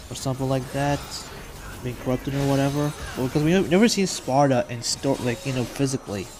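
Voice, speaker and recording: A man talks at a very fast pace with ordinary pitch variation. Noticeable background noise is present. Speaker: gaming youtuber. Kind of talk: gameplay commentary. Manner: rambling, halting.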